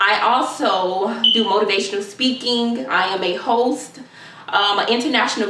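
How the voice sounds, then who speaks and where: The speaker has an American accent and ordinary pitch variation. The recording carries noticeable background noise and audible room echo. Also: woman. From Florida, Jacksonville. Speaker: student and motivational speaker. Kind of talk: self-introduction.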